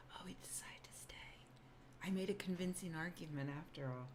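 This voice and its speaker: A woman speaks quietly at a fairly quick pace. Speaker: YouTuber and science writer. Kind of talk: casual livestream chat. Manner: loud; trying to speak quietly.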